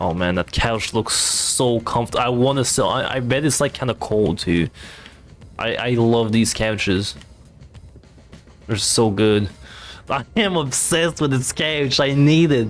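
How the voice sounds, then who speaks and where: With music in the background, a man with a non-native accent speaks fairly slowly at a medium pitch, his intonation lively and his pauses long and frequent. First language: not English. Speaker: VTuber streamer. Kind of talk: casual let's play commentary.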